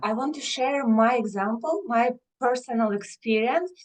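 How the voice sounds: With ordinary pitch variation, the speech proceeds at a moderate pace. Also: woman, fairly high pitch for a woman.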